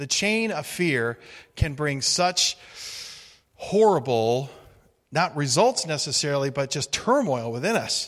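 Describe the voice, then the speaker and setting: A man with a fairly high pitch speaks in a normal speaking voice with lively intonation, recorded very cleanly against a silent background. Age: 50s. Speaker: guest preacher. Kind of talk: sermon.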